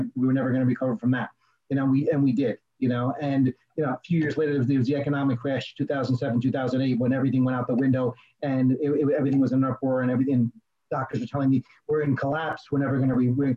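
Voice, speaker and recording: At a very fast pace, a man with a medium-pitched voice sounds energetic and keeps his loudness very even. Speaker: dental coach and consultant. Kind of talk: interview, conversational. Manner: fast talker, loud, energetic.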